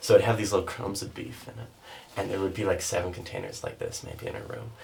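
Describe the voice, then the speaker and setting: Spoken at a very fast pace, the voice jumps sharply between loud and soft over noticeable background noise. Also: man. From Canada, Saskatchewan (North Battleford). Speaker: podcast guest. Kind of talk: casual chat. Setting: podcast recorded in a bathtub.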